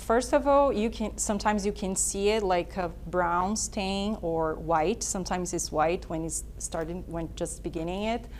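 A woman speaks with a Portuguese accent. She barely pauses at all. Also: moderate pace. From Brazil. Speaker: dentist, prosthodontist. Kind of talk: explanatory presentation.

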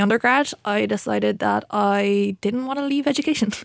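A woman's medium-pitched voice in a Waterford accent, on a very clean recording with a silent background. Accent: Irish, Waterford. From Waterford, Ireland. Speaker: PhD researcher. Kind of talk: panel interview.

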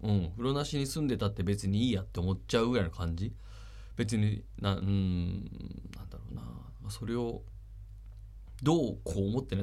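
Room echo is audible as a man talks at a fairly quick pace with lively intonation and long, frequent pauses. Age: 40s. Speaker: radio host. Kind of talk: casual radio talk.

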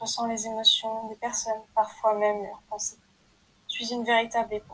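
Her pitch fairly high, a woman talks at a moderate pace in a monotone, flat intonation. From France. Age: 20s. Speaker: podcaster and aspiring writer. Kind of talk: personal introduction monologue. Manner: hesitant.

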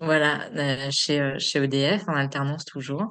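A woman's voice against a quiet background. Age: 30s. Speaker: energy therapist and medium. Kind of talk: casual chat. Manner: hesitant, many fillers.

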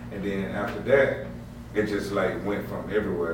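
Through noticeable background noise, a man speaks at a moderate pace in a very deep, low pitch. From Mississippi. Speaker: DJ and rapper. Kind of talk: casual chat.

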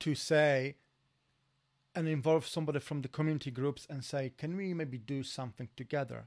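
On a very clean recording with a silent background, a man with a Polish accent and a fairly high voice speaks at a moderate pace with ordinary pitch variation and long, frequent pauses. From Poland. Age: 40s. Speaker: former security worker, immigrant. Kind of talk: casual chat.

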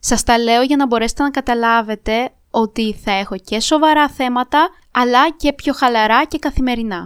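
This woman talks at a moderate pace with a high pitch and fairly even intonation. The recording is very clean with a silent background and a dry, close sound with no echo. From Moldova, moved to Greece around age 10. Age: 20s. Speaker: podcast host, university student. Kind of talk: solo podcast monologue.

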